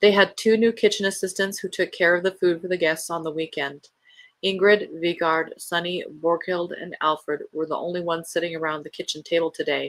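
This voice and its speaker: A woman speaks at a fairly low pitch and a fairly quick pace. Her intonation stays fairly even, and her tone is calm and soothing. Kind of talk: bedtime story read-aloud of a novel chapter. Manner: calm, soothing, gentle reading; plain reading without dramatic character voices.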